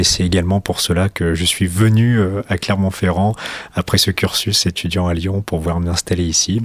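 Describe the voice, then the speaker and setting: Noticeable background noise surrounds a man with a very deep, low pitch. He speaks at a moderate pace in a monotone, flat intonation. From France, Hautes-Alpes. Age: 20s. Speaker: racing school founder. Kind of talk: radio interview.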